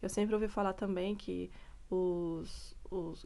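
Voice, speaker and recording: A woman talks with a dark, mellow tone. Her pitch varies in an ordinary way. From Brazil. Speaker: vlogger, mother. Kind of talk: casual vlog talk. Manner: conversational, hesitant.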